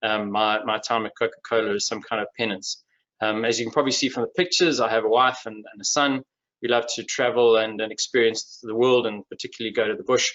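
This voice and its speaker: A man at medium pitch with a Durban accent, very fast pace and fairly even intonation. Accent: Durban South African. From South Africa, Durban. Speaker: industry executive and webinar speaker. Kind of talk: webinar presentation. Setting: online webinar. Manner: hesitant, many fillers and repetitions.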